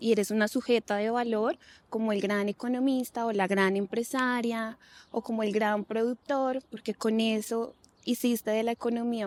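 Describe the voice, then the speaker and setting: A woman talks at a moderate pace in a fairly high pitch with monotone, flat intonation. The sound is dry and close, with no echo. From Colombia, Bogotá. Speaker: lawyer and gender expert. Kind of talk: interview conversation.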